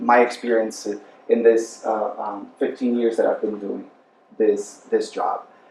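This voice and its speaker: A man is speaking. Noticeable background noise is audible behind him. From Brazil. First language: Portuguese. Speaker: human rights specialist. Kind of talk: panel presentation. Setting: university panel with audience. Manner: halting.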